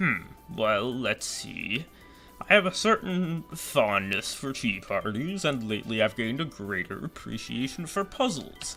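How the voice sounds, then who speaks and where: Put-on character voice from a man at a moderate pace, with clear music in the background. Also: medium pitch for a man. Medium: fan dub. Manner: gentle, courteous.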